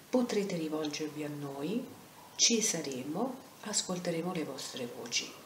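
A woman speaks at fairly low pitch with very wide pitch swings. There's audible room echo and light background noise. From Rome. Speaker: anti-violence centre president. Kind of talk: video lecture. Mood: earnest, warm, reassuring. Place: home room. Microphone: webcam.

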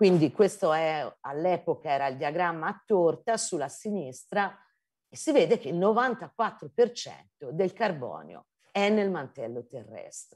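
In a Tuscan accent, the voice moves at a very slow pace with very wide pitch swings over a quiet background. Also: woman, fairly low pitch for a woman. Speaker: geology professor. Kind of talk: lecture. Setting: video call. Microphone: video call.

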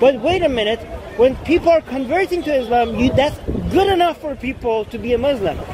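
A man with a Persian accent speaks at a fairly quick pace and an extremely high pitch, his intonation lively. The sound is dry with no echo, though background noise is noticeable. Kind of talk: casual vlog chat. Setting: outdoors in cold weather, London. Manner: argumentative, explanatory. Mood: argumentative, pointing out hypocrisy. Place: open country. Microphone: phone near.

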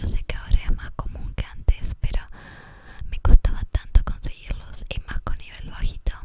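Whispering at a fairly slow pace, a woman gets her words out. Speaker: ASMR creator. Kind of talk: ASMR gameplay commentary. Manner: whispered; soft-spoken. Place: bus.

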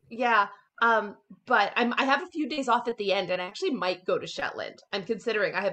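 A woman's fairly quick speech with ordinary pitch variation. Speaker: interview guest. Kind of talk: interview answer. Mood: cheerful, animated. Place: home room. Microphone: video call.

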